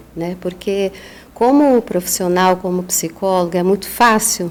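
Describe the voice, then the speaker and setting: A woman talks fairly slowly at a medium pitch with fairly even intonation, and noticeable background noise is present. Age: 50s. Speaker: psychologist and author. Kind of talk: podcast interview.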